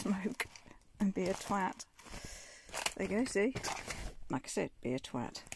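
A woman's fairly slow speech, dry with no echo, over noticeable background noise. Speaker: vlogger sorting old belongings. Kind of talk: casual vlog chat. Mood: amused, laughing at herself. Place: home room. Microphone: phone near.

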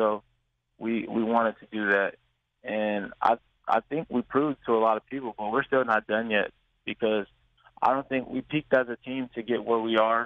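Pausing long and often, a man with an American accent speaks at a medium pitch in a monotone, flat intonation. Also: moderate pace. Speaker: college football player. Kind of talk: radio interview. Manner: halting.

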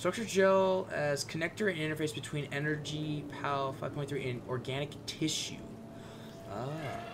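Noticeable background noise sits under this recording. A man with a fairly high voice and ordinary pitch variation speaks fairly slowly. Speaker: gaming video creator. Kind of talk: let's play commentary. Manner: animated. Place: home room.

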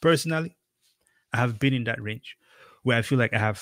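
In a Cameroonian accent, a man talks at a moderate pace and medium pitch with ordinary pitch variation and a fairly bright tone, in a dry, close sound with no echo.

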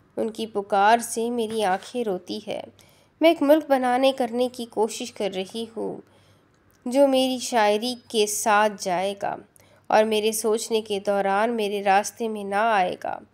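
A woman's plain, everyday voice, fairly high in pitch with fairly even intonation, in a very clean recording against a silent background. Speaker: audiobook narrator, novel reader on a YouTube channel. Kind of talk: audiobook-style reading of a novel, with a poem passage.

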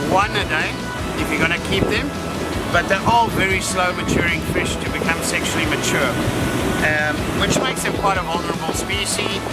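Clear music sounds in the background as a man speaks at a moderate pace with long, frequent pauses. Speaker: presenter. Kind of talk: tutorial. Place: waterside.

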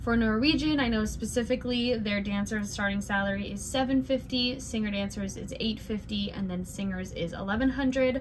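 At a moderate pace and medium pitch, a woman speaks with ordinary pitch variation and few pauses, over clear background noise.

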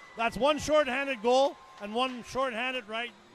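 Music plays clearly behind a man's raised, projected voice. His pitch is extremely high. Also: dry sound with no echo. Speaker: hockey play-by-play commentator. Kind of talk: live hockey play-by-play commentary, calling goals and replays as they happen. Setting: broadcast from arena. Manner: animated on goals, quick rapid-fire calls. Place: stadium.

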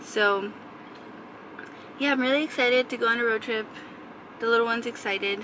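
A woman's fairly quick, fairly evenly intoned speech, dry with no echo, over light background noise. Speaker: vlogger. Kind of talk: casual vlog chat. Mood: calm, sleepy morning. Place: car. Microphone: phone near.

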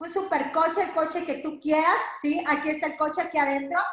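A woman speaks with a high pitch and an animated tone. Her voice carries audible room echo over a quiet background. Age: 40s. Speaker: direct sales entrepreneur. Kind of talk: sales pitch. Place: home room. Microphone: video call.

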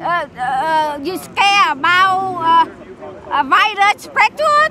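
Over crowd noise in the background, a woman with a Vietnamese accent speaks in a raised, projected voice at a very slow pace with lively intonation, the sound dry with no echo. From South Vietnam. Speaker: torture survivor, protester; interviewee. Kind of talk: street interview. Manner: halting; impassioned. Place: open country. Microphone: handheld.

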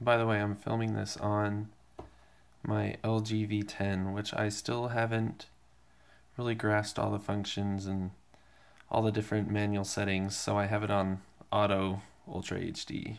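The speech moves at a fairly slow pace. Long, frequent pauses break it up. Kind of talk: casual tech demo narration. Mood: relaxed, slightly unsure. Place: home room. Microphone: phone near.

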